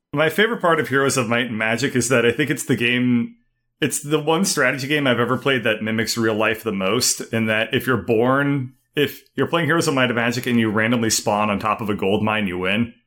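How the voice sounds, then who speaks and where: A man's fairly quick delivery in an unremarkable speaking voice, pitched in the middle range, with pitch moving in an ordinary way. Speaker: gaming podcast host. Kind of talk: casual chat.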